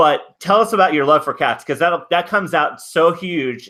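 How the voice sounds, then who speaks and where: A man talks with a Californian accent. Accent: California. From Southern California. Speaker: live stream host. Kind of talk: casual chat. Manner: halting.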